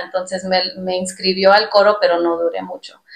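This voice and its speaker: A woman at medium pitch and moderate pace, her intonation monotone and flat. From Texas, US, Mexican-American family from Zacatecas. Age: 30s. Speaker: podcast co-host. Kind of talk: testimony. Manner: halting, many fillers.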